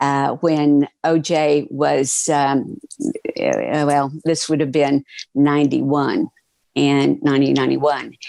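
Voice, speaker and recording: This woman talks at a very slow pace. She has an American accent. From Oklahoma, US Southwest. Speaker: TV producer and performer. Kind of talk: interview conversation. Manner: eloquent, clear diction; animated storytelling.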